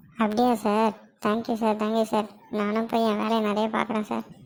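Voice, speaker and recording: This cartoonish character voice moves at a moderate pace with monotone, flat intonation. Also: woman, fairly high pitch for a woman. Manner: cheeky, fast.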